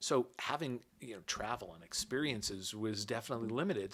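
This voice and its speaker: On a very clean recording with a silent background, a man with a New York accent speaks at a moderate pace with ordinary pitch variation. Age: 60s. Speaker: watch enthusiast.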